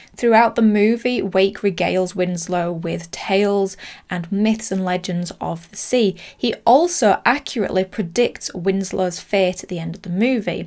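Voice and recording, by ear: A woman speaks at a fairly slow pace with few pauses. Her pitch varies in an ordinary way. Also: medium pitch for a woman, slightly mellow tone.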